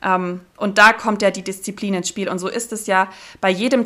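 A woman speaks at a medium pitch with fairly even intonation and a bright, sharp tone. The recording is very clean, with a silent background. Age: 30s. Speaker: diving instructor and business mentor. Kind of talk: casual interview.

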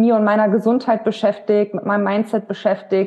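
A woman's voice at medium pitch. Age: 30s. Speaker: women's health coach. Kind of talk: interview. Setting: in person.

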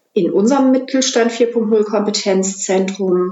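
This is an ordinary speaking voice, a woman at medium pitch. She talks at a fairly slow pace with ordinary pitch variation. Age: 40s. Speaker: head of a business digitalization center. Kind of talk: interview.

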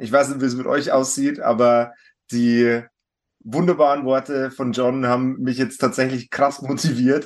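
This man's voice sits fairly high in pitch, and he speaks at a moderate pace. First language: German. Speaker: podcast host. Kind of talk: interview. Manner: halting.

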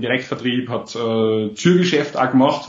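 The speaker has an Austrian accent. The pace is fairly slow. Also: man. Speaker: entrepreneur. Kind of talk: interview.

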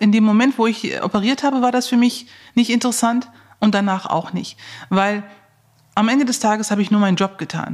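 A woman with a fairly high, somewhat breathy voice talks at a moderate pace with fairly even intonation. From Germany, Neuss (Lower Rhine), Turkish family. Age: 40s. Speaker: heart surgeon. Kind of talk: interview.

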